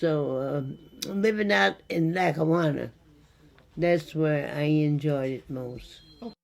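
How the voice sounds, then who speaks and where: A woman with an American accent speaks at a very slow pace in a very deep, low voice. Her speech has long, frequent pauses, and there is noticeable background noise. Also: ordinary pitch variation. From Western New York. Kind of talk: interview answer.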